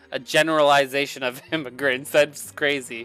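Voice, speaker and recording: The talking proceeds at a moderate pace with music playing behind it. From United States, Brazilian family. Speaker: gaming streamer. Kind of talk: live stream chat with viewers. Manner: animated.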